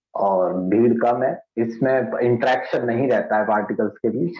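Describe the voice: Strong room echo surrounds speech delivered at a moderate pace with fairly even intonation. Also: man.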